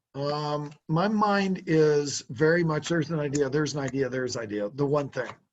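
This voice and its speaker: With an unremarkable speaking voice, a man talks at a moderate pace and fairly high pitch, using ordinary pitch variation and hardly any pauses. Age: 60s. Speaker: car sales trainer. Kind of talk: business coaching consultation.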